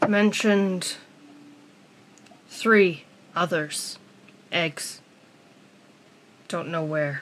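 Using a put-on character voice, a woman speaks very slowly at a fairly low pitch, with long, frequent pauses. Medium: actual play. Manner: terse broken phrases.

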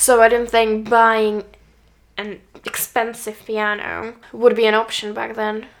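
A woman talks at a fairly slow pace in a Czech accent. Her intonation is monotone and flat. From Czech Republic. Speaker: podcast co-host, learning musician. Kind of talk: casual chat. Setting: on a sofa at home.

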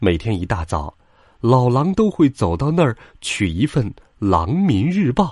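Someone reads aloud in a natural reading voice.

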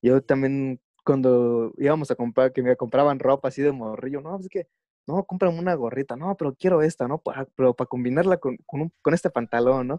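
The pitch variation here is ordinary. A man delivers his words at a fairly quick pace. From Mexico. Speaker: chicano lettering artist. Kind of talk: interview. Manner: casual, slangy.

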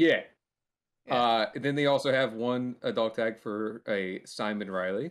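A man speaks at medium pitch with ordinary pitch variation. It is an ordinary speaking voice. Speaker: podcast co-host. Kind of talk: casual chat.

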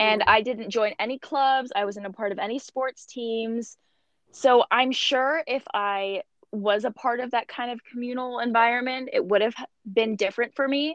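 A woman speaks at a high pitch and a moderate pace. Her intonation stays fairly even. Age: 20s. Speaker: aspiring model. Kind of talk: casual interview.

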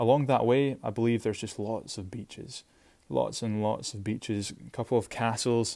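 A man with a Shetland accent talks at a moderate pace and medium pitch, his tone dark and mellow and his intonation fairly even. His loudness swings widely on a very clean recording with a silent background. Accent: Scottish (Shetland). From Scotland, Shetland. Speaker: podcast host. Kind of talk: casual solo podcast monologue.

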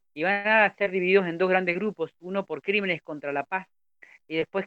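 Here a man speaks at a fairly quick pace. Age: 30s. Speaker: community radio host. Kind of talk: history segment reading. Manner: sounds older than his age.

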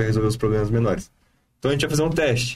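A man with a medium pitch sounds somewhat breathy. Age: 20s. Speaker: evangelist. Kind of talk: casual chat.

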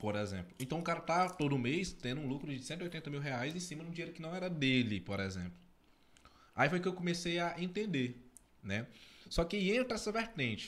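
At a moderate pace, a man speaks in a high pitch with very wide pitch swings. Long, frequent pauses break up his speech. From Tocantins, Brazil. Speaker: podcast co-host. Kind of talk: casual chat. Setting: studio.

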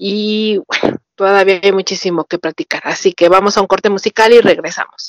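Her pitch is medium and her pace fairly quick. The recording of this woman is dry and close, with no echo. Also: ordinary pitch variation. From Mexico. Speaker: podcast host. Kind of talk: casual interview chat.

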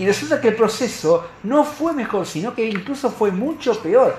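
A high-pitched man at a moderate pace amid noticeable background noise. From Argentina. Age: 50s. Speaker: radio host. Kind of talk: casual chat.

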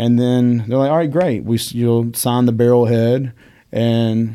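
A man with a Southern US accent, a dark, mellow tone, fairly even intonation and a moderate pace, in a very clean recording with a silent background. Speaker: whiskey shop owner and whiskey educator. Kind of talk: casual interview chat.

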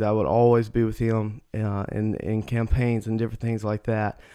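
A man at medium pitch with a Mississippi accent, monotone and flat in intonation, at a fairly quick pace. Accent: Southern US (Mississippi). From US South, Mississippi. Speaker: church staff, podcast co-host. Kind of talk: casual chat.

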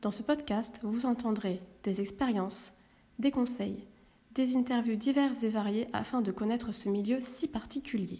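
At a fairly slow pace, a woman speaks with a fairly high pitch, a somewhat breathy, dark, mellow tone, and fairly even intonation. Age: 30s. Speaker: podcast host. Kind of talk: scripted introduction. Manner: formal.

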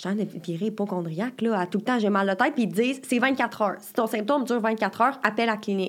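A woman with a Quebec accent talks at a very fast pace with hardly any pauses. Her loudness swings widely while her pitch varies in an ordinary way, on a very clean recording with a silent background. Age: 20s. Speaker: university student. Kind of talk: casual interview.

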